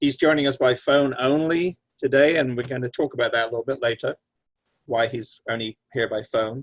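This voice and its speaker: Against a quiet background, a man with a British accent speaks at medium pitch and a moderate pace. His intonation is fairly even, and the sound is dry and close with no echo. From Britain. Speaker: lawyer, panel moderator. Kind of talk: panel moderation, introductions. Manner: halting, many fillers.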